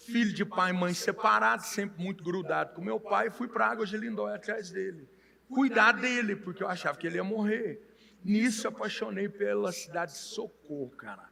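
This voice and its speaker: With a Minas Gerais accent, a man with a high pitch speaks in a raised, projected voice at a moderate pace with ordinary pitch variation over noticeable background noise. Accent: mineiro Brazilian Portuguese. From Minas Gerais, Brazil (Monte Santo de Minas). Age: 40s. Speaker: pastor and car dealer. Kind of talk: casual interview chat.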